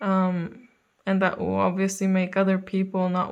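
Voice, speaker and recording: A woman's calm tone at a medium pitch and moderate pace, against a quiet background. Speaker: tarot reader. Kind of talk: spiritual reading to camera. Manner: hesitant with fillers.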